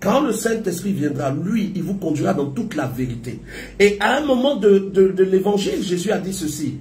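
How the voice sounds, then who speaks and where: With audible room echo and noticeable background noise, a man talks at a moderate pace in a high pitch with lively intonation. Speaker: prophet preacher. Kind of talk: sermon.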